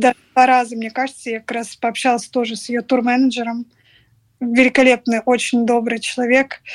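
At a moderate pace, a woman with a high pitch speaks in a monotone, flat intonation, her loudness swinging widely in a dry, close sound with no echo. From Moscow, Russia. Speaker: social media manager. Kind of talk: interview.

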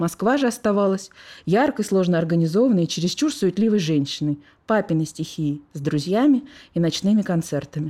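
The recording is very clean, with a silent background. A woman with a medium pitch and a dark, mellow tone speaks at a moderate pace with lively intonation. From Moscow.

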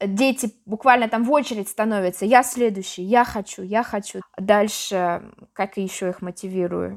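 At a moderate pace, an ordinary speaking voice carries fairly even intonation. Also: woman, medium pitch for a woman. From Yaroslavl, central Russia. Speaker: teacher of Russian as a foreign language. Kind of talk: interview.

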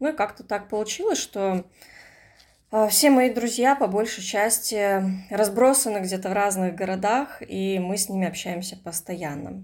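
A woman speaks at a medium pitch with ordinary pitch variation and a fairly slow pace, leaving long, frequent pauses, in a very clean recording with a silent background. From Russian Far East, Komsomolsk-on-Amur. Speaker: writer. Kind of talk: casual chat.

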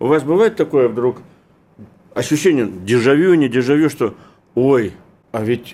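A man talks at a moderate pace with an ordinary speaking voice. His pitch is fairly high, and his intonation is lively. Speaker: radio interviewer, editor-in-chief. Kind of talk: radio interview.

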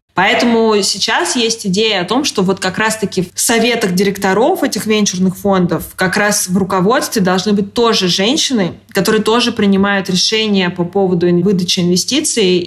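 Against noticeable background noise, a woman speaks at a moderate pace with hardly any pauses, her medium pitch carrying fairly even intonation and very even loudness. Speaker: magazine editor-in-chief. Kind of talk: interview.

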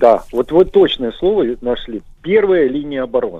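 A man speaks at a moderate pace. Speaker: military historian. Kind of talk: radio interview.

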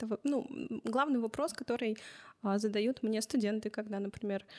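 An unremarkable speaking voice from a woman, fairly high-pitched and fairly quick, with fairly even intonation and a dry, close sound with no echo. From Russia, Chelyabinsk. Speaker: journalism lecturer and youth media project leader. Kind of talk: interview. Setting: recording studio.

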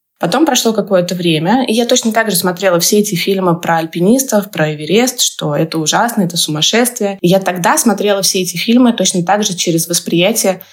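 Over noticeable background noise, a woman talks at a fairly quick pace with hardly any pauses. Her pitch varies in an ordinary way. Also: medium pitch for a woman, very even loudness. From Russia, Samara. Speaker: life coach and mountaineer. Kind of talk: podcast interview.

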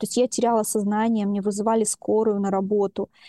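Against a quiet background, a woman uses a normal speaking voice with a fairly high pitch and fairly even intonation. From Russia, Chelyabinsk region village. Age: 40s. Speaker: psychologist. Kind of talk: interview.

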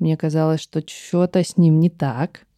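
Dry, close sound with no echo and a woman's dark, mellow, fairly low voice at a moderate pace. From Western Siberia, Russia. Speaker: musician and songwriter. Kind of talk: casual interview conversation.

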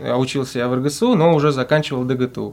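A man talks in monotone, flat intonation at a medium pitch and a moderate pace. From Russia, Volgograd. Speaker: student football team captain. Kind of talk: interview.

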